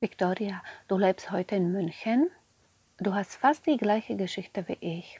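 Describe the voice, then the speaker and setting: A woman speaks with a Slovak accent, her medium-pitched voice dark, mellow and somewhat breathy. She goes at a fairly slow pace with long, frequent pauses, in a dry, close sound with no echo. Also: ordinary pitch variation. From Slovakia. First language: Slovak (speaking German). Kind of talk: interview.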